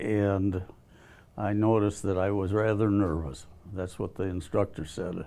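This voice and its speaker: A man with an American accent and a dark, mellow tone speaks at a fairly low pitch and a fairly slow pace with ordinary pitch variation, in a very clean recording with a silent background. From US Midwest, Milwaukee. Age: 90s. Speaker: war veteran. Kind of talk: interview. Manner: halting.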